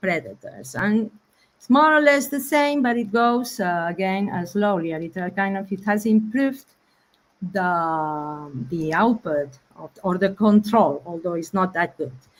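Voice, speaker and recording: A woman talks fairly slowly, her pitch swinging very widely. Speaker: researcher. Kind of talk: lecture. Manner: halting.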